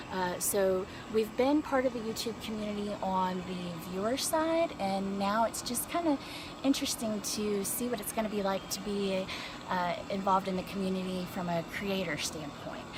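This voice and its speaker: A woman with an American accent speaks at a medium pitch and moderate pace, with lively intonation. Noticeable background noise and audible room echo are present. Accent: Southern, slight, stronger when tired. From North Carolina. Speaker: family vlogger. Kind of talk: casual vlog talk to camera. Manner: hesitant, many fillers.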